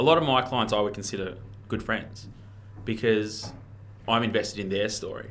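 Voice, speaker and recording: A man with a strong Australian accent speaks at a moderate pace and a fairly low pitch, his intonation fairly even. He takes long, frequent pauses, and audible room echo is present. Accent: strong broad Australian (Ocker). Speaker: real estate auctioneer and marketer. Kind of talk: casual podcast interview. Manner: casual, laid-back.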